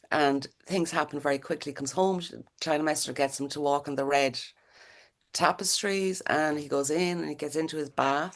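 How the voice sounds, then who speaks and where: Against a quiet background, a woman with a very deep, low pitch speaks in an Irish accent. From Ireland. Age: 60s. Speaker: playwright. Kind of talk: interview. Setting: video call. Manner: halting.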